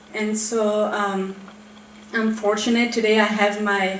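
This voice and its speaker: A woman talks in a medium pitch with monotone, flat intonation. Noticeable background noise and audible room echo fill the recording. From Switzerland. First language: French. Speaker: therapist. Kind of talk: panel talk. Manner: casual, with many fillers.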